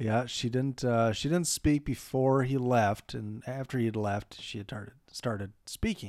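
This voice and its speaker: Mumbling with hardly any pauses, a man speaks fairly slowly at medium pitch with ordinary pitch variation, in a very clean recording with a silent background. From Minnesota, outstate. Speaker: movie podcast co-host. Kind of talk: casual chat.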